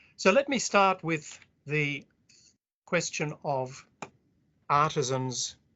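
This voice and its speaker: At a very slow pace with long, frequent pauses, a man speaks with an Australian accent and a fairly high pitch. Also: ordinary pitch variation. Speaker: historian. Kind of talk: academic lecture.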